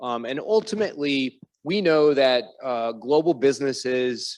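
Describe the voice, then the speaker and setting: In a normal speaking voice, a man talks at a fairly slow pace with an American accent and ordinary pitch variation. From United States. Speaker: fintech executive on a panel. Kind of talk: panel discussion.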